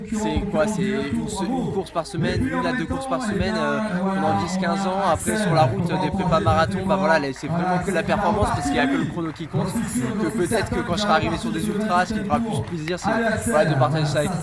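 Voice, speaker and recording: With crowd noise and audible room echo behind him, a man with a high-pitched voice talks very fast and lively, hardly pausing at all. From southern France (Montpellier, born in Nice). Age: 20s. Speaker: middle-distance runner. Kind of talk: interview.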